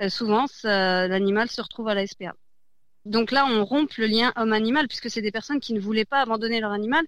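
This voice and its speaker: A woman with a plain, everyday voice, fairly high pitch, ordinary pitch variation and a fairly quick pace. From France, Besançon. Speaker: charity branch head. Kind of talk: radio interview.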